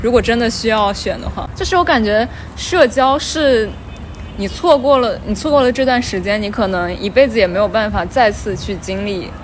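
With noticeable background noise, a woman speaks at a moderate pace in a fairly high pitch with lively intonation. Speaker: podcast host. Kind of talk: casual chat.

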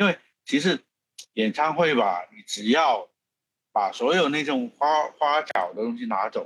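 Speaking at a fairly slow pace, a man with a slight Hong Kong accent uses a fairly high pitch with very wide swings and some vocal fry. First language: Cantonese (speaking Chinese). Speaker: film producer. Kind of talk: interview. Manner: halting.

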